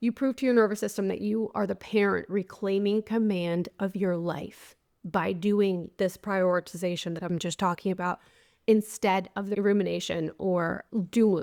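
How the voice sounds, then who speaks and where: Recorded very cleanly with a silent background, a woman speaks at a moderate pace in an unremarkable speaking voice, medium in pitch with fairly even intonation. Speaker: podcast host and life coach. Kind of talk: solo podcast monologue. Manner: conversational.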